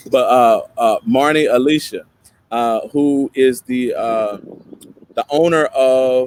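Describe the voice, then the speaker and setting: At a very slow pace, a man of medium pitch speaks with fairly even intonation in a dry, close sound with no echo. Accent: slight Tennessee. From East Tennessee. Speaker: podcast co-host and web designer. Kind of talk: casual chat. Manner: frequent fillers and hesitations.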